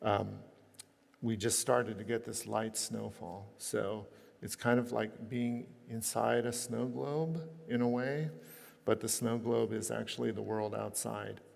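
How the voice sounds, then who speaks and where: The speech moves at a fairly slow pace, with audible room echo. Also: man. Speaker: architect. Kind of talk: lecture.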